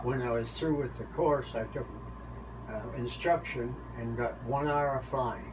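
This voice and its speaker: A man's fairly slow delivery against noticeable background noise. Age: 80s+. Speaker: pilot; navy veteran. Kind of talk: interview answer. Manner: halting.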